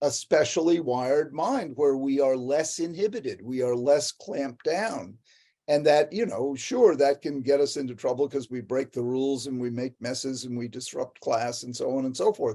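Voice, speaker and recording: Barely pausing, a man speaks at a moderate pace with a fairly high pitch and a dark, mellow tone. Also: ordinary pitch variation. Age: 70s. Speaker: psychiatrist and author. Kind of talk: talk. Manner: animated; halting.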